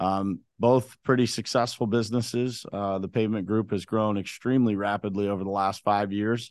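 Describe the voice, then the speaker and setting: A man with an American accent talks at a moderate pace with hardly any pauses, his fairly low voice flat and monotone over a quiet background. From western Pennsylvania, Uniontown. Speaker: construction business owner. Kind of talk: casual interview.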